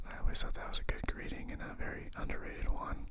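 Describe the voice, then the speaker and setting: Someone whispers at a fairly quick pace. Noticeable background noise sits behind the voice. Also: man. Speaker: ASMR creator. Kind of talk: ASMR whispered ramble. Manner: nervous, hesitant.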